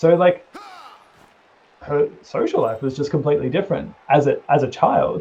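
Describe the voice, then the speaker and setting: Over noticeable background noise, a man with an Australian accent speaks at a fairly high pitch. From Australia, Melbourne. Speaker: gamer. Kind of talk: casual chat.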